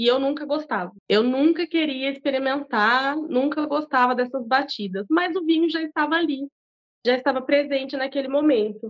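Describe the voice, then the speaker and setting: A woman with a high voice speaks at a moderate pace, her pitch varying in an ordinary way. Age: 30s. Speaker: bar owner and cook. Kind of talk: casual interview.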